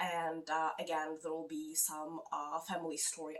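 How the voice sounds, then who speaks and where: At a moderate pace, a woman with a non-native accent speaks in a very deep, low pitch and fairly even intonation. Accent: foreign. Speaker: book vlogger. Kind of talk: casual vlog talk. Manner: halting, many fillers.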